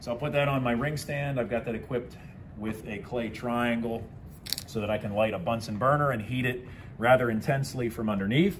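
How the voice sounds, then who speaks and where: There is noticeable background noise behind a man's voice. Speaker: science teacher. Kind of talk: tutorial. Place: classroom. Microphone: phone near.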